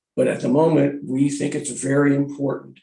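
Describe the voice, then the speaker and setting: There is vocal fry in the man's medium-pitched voice. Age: 60s. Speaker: real estate expert witness. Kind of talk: hearing testimony.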